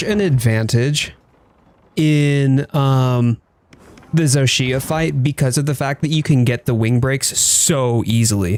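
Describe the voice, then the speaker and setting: At a very slow pace, a man speaks with a fairly high pitch, ordinary pitch variation and very even loudness. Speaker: gaming streamer. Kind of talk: live stream chat. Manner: animated.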